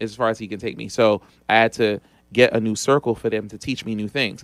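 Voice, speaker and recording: In a plain, everyday voice, a man speaks at medium pitch and a fairly quick pace. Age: 40s. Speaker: business credit and funding expert. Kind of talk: interview.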